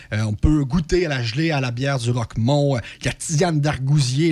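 A man's fairly high voice at a fairly quick pace, with ordinary pitch variation and an unremarkable speaking voice. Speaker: regional youth program worker. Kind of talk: radio interview.

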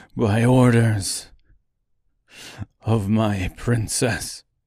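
Putting on a character voice, a man talks at medium pitch with monotone, flat intonation. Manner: anguished, hushed.

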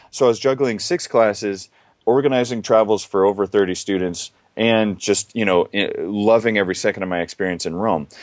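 Here is a man with an unremarkable speaking voice, fairly low in pitch with ordinary pitch variation. He talks at a fairly quick pace against a quiet background. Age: 20s. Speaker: travel company founder and author. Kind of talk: interview.

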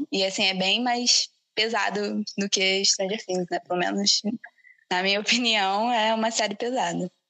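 A woman's medium-pitched voice, bright and sharp in tone, with fairly even intonation, a fairly slow pace and a dry, close sound with no echo. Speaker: podcast host. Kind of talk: casual chat.

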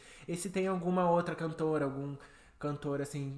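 A man speaks at a fairly high pitch with fairly even intonation in an unremarkable speaking voice. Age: 20s. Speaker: podcast co-host. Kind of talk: casual chat.

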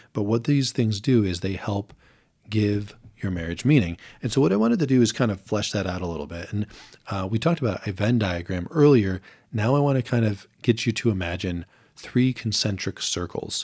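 Fairly low in pitch with ordinary variation, a man talks at a fairly quick pace in a normal speaking voice, recorded very cleanly against a silent background. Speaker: podcast co-host. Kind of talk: podcast discussion on marriage.

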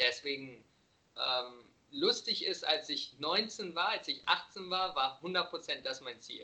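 The man speaks at a very slow pace. Long, frequent pauses break up his speech. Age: 20s. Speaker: vegan nutrition coach and podcaster. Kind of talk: casual interview chat. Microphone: occasionally bad connection.

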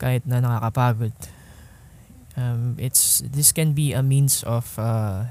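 A somewhat breathy male voice at medium pitch, with ordinary pitch variation. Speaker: podcast host. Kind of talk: casual monologue. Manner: halting.

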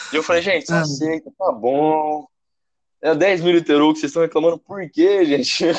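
Here is a man with a fairly high pitch. He keeps a moderate pace and fairly even intonation. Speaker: former student. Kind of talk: casual chat. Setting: call via app.

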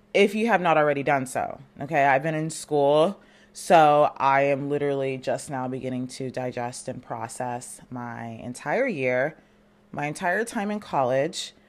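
This woman talks at a moderate pace in a very deep, low voice, with an animated tone and lively intonation. The recording is very clean, with a silent background. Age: 20s. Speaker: podcast host. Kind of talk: casual chat.

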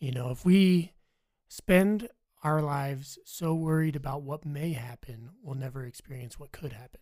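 A man speaks at a moderate pace in a plain, everyday voice, fairly high in pitch with ordinary pitch variation. His loudness swings widely. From Virginia. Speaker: college student, military veteran. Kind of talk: casual interview chat.

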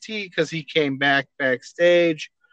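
Dry and close with no echo, a man's high-pitched voice moves at a moderate pace. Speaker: wrestling podcast co-host. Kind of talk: casual chat.

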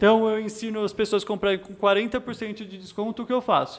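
This man speaks at a fairly quick pace. His pitch is high. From São Paulo, East Zone (Penha). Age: 20s. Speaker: financial educator. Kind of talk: podcast interview.

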